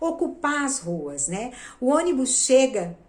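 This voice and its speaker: A woman talks at a high pitch with very wide pitch swings. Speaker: theatre actress and producer. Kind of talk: video lesson.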